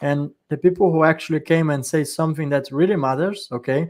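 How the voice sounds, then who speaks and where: In a very clean recording with a silent background, a man with a plain, everyday voice talks at a moderate pace with ordinary pitch variation. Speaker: panel discussion moderator. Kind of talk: live panel discussion.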